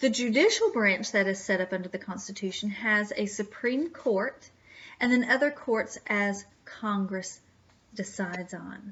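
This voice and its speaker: A woman with an ordinary speaking voice talks at a fairly slow pace, her medium pitch showing ordinary pitch variation. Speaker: history teacher. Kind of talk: lecture.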